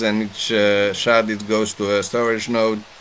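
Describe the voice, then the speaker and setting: Noticeable background noise sits behind a man at a medium pitch. He speaks at a fairly slow pace. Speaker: blockchain developer presenter. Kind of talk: technical presentation.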